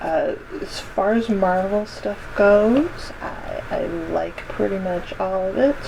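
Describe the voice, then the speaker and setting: Against noticeable background noise, a soft-spoken woman talks at a very slow pace. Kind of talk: casual reaction commentary to camera.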